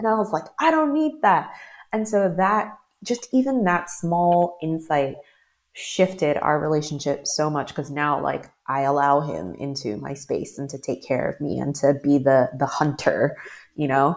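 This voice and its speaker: Speaking at a fairly slow pace with a very deep, low pitch and lively intonation, the woman has an American accent. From US Mid-Atlantic, Maryland. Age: 40s. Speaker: life coach. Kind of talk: interview.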